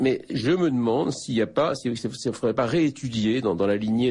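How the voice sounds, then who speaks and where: A man speaks at a fairly quick pace in a medium-pitched voice with lively intonation. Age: 60s. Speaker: philosophy professor, author. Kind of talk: radio interview. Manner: halting, many repetitions and hesitations.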